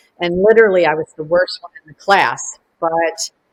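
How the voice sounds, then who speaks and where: A woman with a Chicago accent at a moderate pace, intonation fairly even, the sound dry and close with no echo. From US Midwest, Chicago suburb. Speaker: collage artist. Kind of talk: artist remarks.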